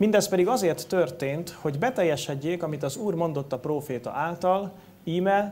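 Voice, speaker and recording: A man speaks with lively intonation. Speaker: preacher. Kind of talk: sermon. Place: church.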